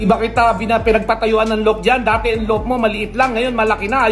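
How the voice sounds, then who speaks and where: With music in the background, a man speaks in an angry tone at a very fast pace and a high pitch. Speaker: pigeon racing vlogger. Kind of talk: heated rant. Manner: loud; sounds angry, forceful.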